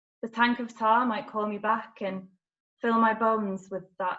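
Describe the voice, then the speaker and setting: A woman talks at a fairly slow pace in a fairly high pitch with monotone, flat intonation. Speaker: spoken word poet performing. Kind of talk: spoken word poetry performance.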